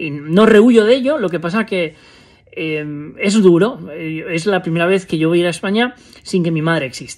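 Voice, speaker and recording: The pitch rises and falls in an ordinary way. Delivery runs at a moderate speed. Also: man, high pitch for a man. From Spain. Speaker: vlogger. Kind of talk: personal vlog monologue. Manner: halting, many fillers. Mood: reflective, somber at times. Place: home room. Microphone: phone near.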